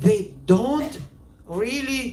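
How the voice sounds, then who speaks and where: There is noticeable background noise. The speaker has a Georgian accent. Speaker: filmmaker. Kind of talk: interview. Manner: halting.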